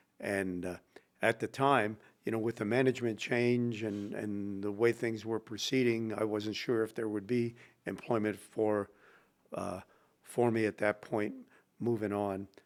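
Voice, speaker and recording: A man with an American accent speaks at a fairly slow pace in a fairly low pitch with monotone, flat intonation. The recording is very clean, with a silent background. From Pennsylvania. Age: 70s. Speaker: retired theater stage manager. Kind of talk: interview. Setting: showroom dressing room. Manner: hesitant, many fillers.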